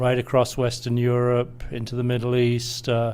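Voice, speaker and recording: A man with a British accent speaks at a fairly slow pace. His pitch is medium. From Britain. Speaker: energy industry executive. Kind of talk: interview.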